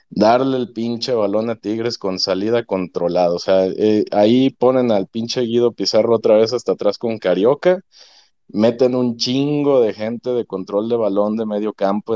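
A man with a Mexican accent, a dark, mellow tone, a moderate pace and a quiet background. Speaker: football analyst fan. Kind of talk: casual chat.

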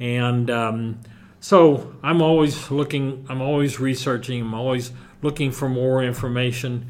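An unremarkable speaking voice, this man's is medium in pitch, fairly slow, and fairly even in intonation. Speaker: museum curator. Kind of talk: interview. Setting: on location at a museum.

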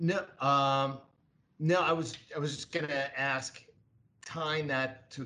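Here a man talks with a New York accent. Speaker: co-host.

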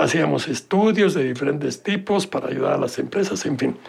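A man with a Mexican accent talks at a moderate pace in a high pitch. Noticeable background noise runs underneath. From Mexico City. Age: 80s+. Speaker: board game creator. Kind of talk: interview.

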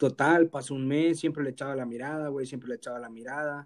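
A man with a Mexican accent talks at a fairly quick pace with fairly even intonation. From Mexico, Guerrero. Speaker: podcast host. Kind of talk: casual chat. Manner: robotic, announcer-like.

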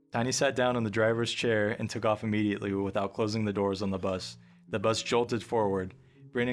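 With fairly even intonation, this is an unforced reading voice.

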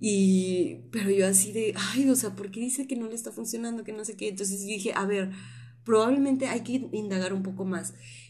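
Somewhat breathy and at a medium pitch, a woman speaks at a fairly quick pace, with audible room echo. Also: ordinary pitch variation. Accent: Tamaulipas Mexican. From Tampico, Mexico. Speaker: podcast host. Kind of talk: casual chat.

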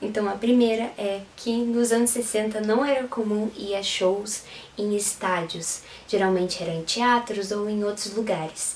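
A woman at a fairly slow pace with fairly even intonation, amid noticeable background noise and audible room echo. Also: fairly high pitch for a woman. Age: 20s. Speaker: photographer and Beatles fan youtuber. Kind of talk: interview.

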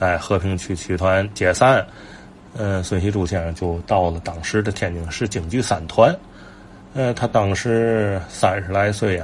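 At a fairly slow pace with long, frequent pauses, a man talks in a fairly low voice with ordinary pitch variation. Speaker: traditional folk-art enthusiast and commentator. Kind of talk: casual monologue.

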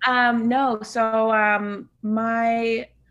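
In an American accent, a woman speaks with a bright, sharp tone. The recording is very clean, and the background is silent. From Northern California, Bay Area. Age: 20s. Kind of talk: casual interview chat.

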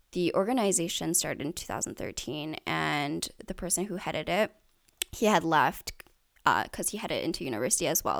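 A woman with a Canadian accent and an unremarkable speaking voice, fairly low in pitch, in a very clean recording with a silent background. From Canada, Richmond, British Columbia. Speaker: youth nonprofit leader. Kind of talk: interview.

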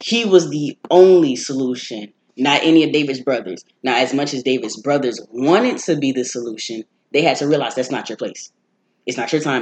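A man's normal speaking voice at a medium pitch, with ordinary pitch variation and a fairly quick pace. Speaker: college student. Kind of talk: casual chat.

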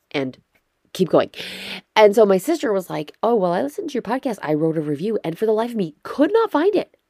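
With an American accent and a dark, mellow tone, a woman talks at a fairly quick pace with very wide pitch swings. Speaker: podcast host. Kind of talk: casual solo podcast chat. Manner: chatty, laughs often.

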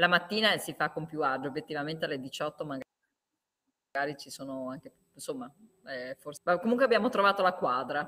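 A woman's very deep, low voice with a bright, sharp tone, very wide pitch swings and big swings in loudness, at a fairly quick pace with long, frequent pauses. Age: 40s. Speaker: podcast host. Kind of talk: casual chat.

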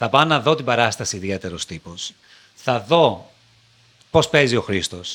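A man talks at a moderate pace and medium pitch, with very wide swings in pitch. Long pauses come often. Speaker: TV presenter. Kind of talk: interview. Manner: articulate.

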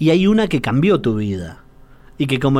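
Fairly high-pitched, a man speaks at a moderate pace. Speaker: radio host. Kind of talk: radio interview.

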